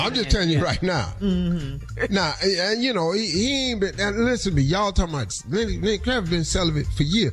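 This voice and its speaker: Over music in the background, a man talks at a fairly quick pace with hardly any pauses, his high-pitched voice animated and his intonation lively. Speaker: radio morning show host. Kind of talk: radio morning show banter. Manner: animated, emphatic, joking.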